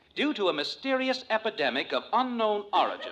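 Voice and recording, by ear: A man speaks in a put-on character voice, high-pitched with big pitch swings, a fairly bright tone and a fairly quick pace.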